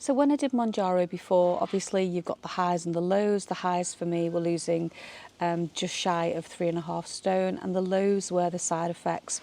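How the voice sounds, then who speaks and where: A woman with a British accent talks at a moderate pace and fairly low pitch. Her tone is dark and mellow, with ordinary pitch variation. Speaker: vlogger. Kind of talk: casual vlog talk. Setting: outdoors in a garden. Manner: hesitant, many fillers.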